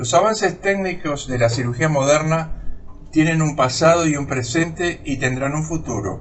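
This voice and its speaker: A man speaks at a fairly high pitch with ordinary pitch variation. Noticeable background noise and audible room echo surround him. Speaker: retired surgeon, academy lecturer. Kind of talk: recorded lecture. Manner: slow, sped up in editing; formal.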